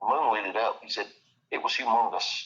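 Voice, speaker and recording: In an East Texas accent, a man talks at a fairly quick pace with a bright, sharp tone. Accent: East Texas Southern US. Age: 60s. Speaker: eyewitness interviewee. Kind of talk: casual interview storytelling. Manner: halting, repetitive.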